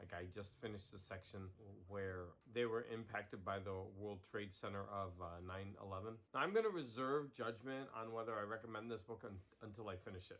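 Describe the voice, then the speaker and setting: A man speaking at a fairly quick pace. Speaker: puzzle hobbyist video host. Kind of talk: casual vlog narration. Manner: halting, frequent fillers and repeats.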